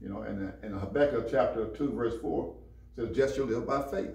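Room echo is audible as a man talks at a moderate pace. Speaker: minister in discussion. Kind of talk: religious discussion, preaching style. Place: church.

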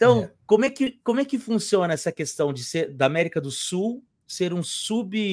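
A man's voice swings very widely in pitch against a quiet background. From Brazil. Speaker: history professor and YouTuber; history professor, YouTuber. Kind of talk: interview; interview questions. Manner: hesitant, repeats words. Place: home room.

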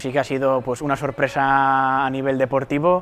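This is a man speaking. His pace is moderate. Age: 22. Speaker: graduate student and triathlete. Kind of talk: interview testimony. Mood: calm, pleased. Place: hall. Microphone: lapel.

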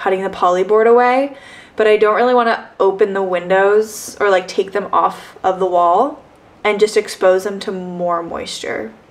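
With ordinary pitch variation, a woman delivers her lines at a moderate pace. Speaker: vlogger. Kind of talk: casual vlog chat. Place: home room. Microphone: camera far.

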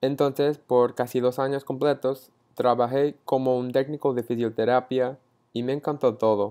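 A man with an American accent, a dark, mellow tone and monotone, flat delivery at a moderate pace against a quiet background. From Texas (Frisco, north of Dallas); Texas. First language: English (speaking Spanish). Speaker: university student. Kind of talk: class presentation. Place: home room. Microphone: earbuds.

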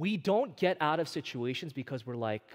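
The background is quiet. A man talks at a moderate pace in an animated tone. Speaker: preacher. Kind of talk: sermon. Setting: church. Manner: animated, call-and-response; earnest, direct. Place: church.

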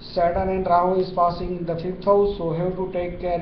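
Noticeable background noise sits behind the speaker. He is a man with a high pitch, talking at a moderate pace. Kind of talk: horoscope forecast talk. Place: office. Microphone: webcam.

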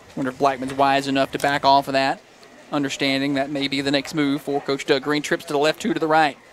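With an American accent, a man speaks at a fairly quick pace amid noticeable background noise. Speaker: play-by-play radio announcer. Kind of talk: live commentary.

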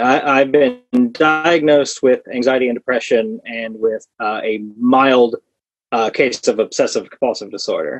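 A man at a moderate pace with ordinary pitch variation, dry sound with no echo and faint music in the background. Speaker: podcast guest. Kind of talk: interview answer. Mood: relaxed, good-humored. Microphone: earbuds.

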